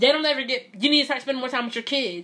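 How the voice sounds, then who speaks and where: A woman speaks in an animated tone. Her voice is raised and projected. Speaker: solo podcast host. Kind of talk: casual chat. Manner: loud.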